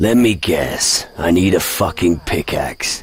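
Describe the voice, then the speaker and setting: A man puts on a character voice, raspy and very deep, talking at a fairly slow pace. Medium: video game. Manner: sarcastic.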